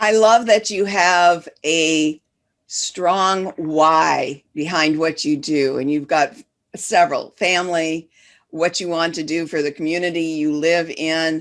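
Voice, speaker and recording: In a Midwestern US accent, a woman speaks at a very slow pace with fairly even intonation. The recording is very clean, with a silent background. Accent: US Midwest. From Detroit, Michigan. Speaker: business coach and podcast host. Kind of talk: podcast interview.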